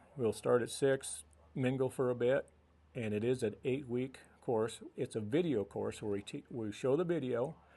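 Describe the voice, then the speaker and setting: A man speaks at medium pitch and a moderate pace with an American accent. He has an ordinary speaking voice. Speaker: radio guest, committee member and teacher of a US Constitution class. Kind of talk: radio studio interview answer.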